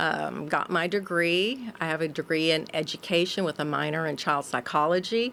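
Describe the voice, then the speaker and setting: Here is a woman with a normal speaking voice, fairly low in pitch, with ordinary pitch variation. She talks at a moderate pace with hardly any pauses. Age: 60s. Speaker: pastor. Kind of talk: casual interview chat.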